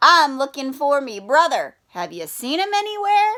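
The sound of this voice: A woman's put-on character voice, high and bright with a sharp tone, big pitch swings and a moderate pace.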